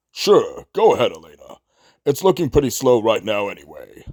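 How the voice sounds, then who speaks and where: A man's put-on character voice at a moderate pace, on a very clean recording with a silent background. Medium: audio drama.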